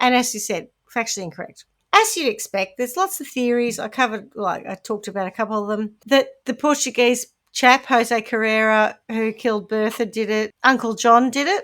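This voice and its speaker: A woman with a New Zealand accent, at a fairly quick pace with ordinary pitch variation, on a very clean recording with a silent background. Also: fairly high pitch for a woman. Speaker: podcast co-host. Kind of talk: casual chat.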